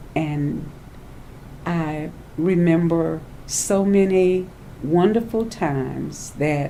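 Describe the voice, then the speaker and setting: A woman's dark, mellow voice with a Louisiana accent, ordinary pitch variation and audible room echo. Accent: Southern US (Louisiana). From US South, Louisiana bayou. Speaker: elder sharing life memories. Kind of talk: oral history interview.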